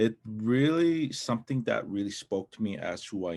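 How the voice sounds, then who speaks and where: A man with a non-native accent speaks with lively intonation in a very clean recording with a silent background. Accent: non-native English pronunciation. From Morley, Alberta, Stoney Nakoda reserve. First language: Stoney Nakoda. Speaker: film director. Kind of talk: panel self-introduction. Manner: halting, many fillers.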